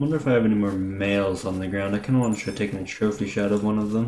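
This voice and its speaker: Quiet and very fast, a man speaks in a fairly low voice with a dark, mellow tone and fairly even intonation. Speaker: gaming youtuber. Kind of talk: gameplay commentary. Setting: home recording at night.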